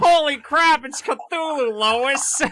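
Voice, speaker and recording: The speaker puts on a nasal, high-pitched character voice. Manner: exasperated.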